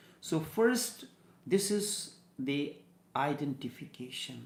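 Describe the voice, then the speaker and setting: A man's fairly high-pitched voice at a very slow pace, with audible room echo. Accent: Indian. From India. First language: Hindi. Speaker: spiritual teacher. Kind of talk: spiritual discourse. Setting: studio.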